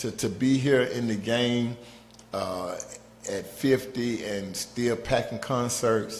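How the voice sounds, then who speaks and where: A man with an American accent at a very slow pace, fairly even intonation and audible room echo. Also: medium pitch for a man. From Atlanta, US South. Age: 50s. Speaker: rapper. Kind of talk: podcast interview.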